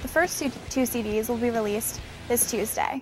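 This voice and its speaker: Over clear music in the background, a woman speaks at a fairly quick pace with ordinary pitch variation, the sound dry with no echo. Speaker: presenter. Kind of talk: entertainment news presenting. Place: open country. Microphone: lapel.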